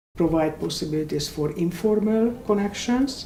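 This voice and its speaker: Delivered in a Hungarian accent at a moderate pace with ordinary pitch variation, the speech comes through audible room echo and noticeable background noise. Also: woman. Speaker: immigrant panelist. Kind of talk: panel discussion.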